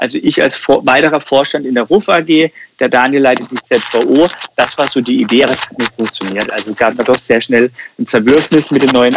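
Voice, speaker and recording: Fairly quick and at a medium pitch, a man with an ordinary speaking voice shows ordinary pitch variation. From Germany, Karlsruhe (Baden). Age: 30s. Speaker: insurance broker and entrepreneur. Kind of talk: podcast interview.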